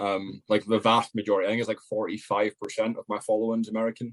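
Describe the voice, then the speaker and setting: A man speaks very fast in a Scottish accent, his pitch sitting in the middle range. The sound is dry and close, with no echo. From Scotland. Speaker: content creator, podcast guest. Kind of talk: casual chat.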